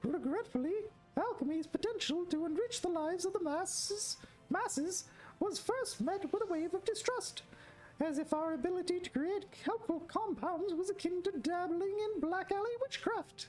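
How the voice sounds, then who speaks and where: A woman's squeaky, put-on character voice at an extremely high pitch, moderate pace, with clear background noise. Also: lively intonation. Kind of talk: NPC dialogue read aloud. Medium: game stream. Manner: formal, long-winded.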